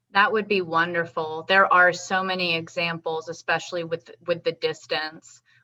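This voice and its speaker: Loud and bright with a sharp tone, a woman speaks at a moderate pace with ordinary pitch variation. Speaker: interviewer. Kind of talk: interview.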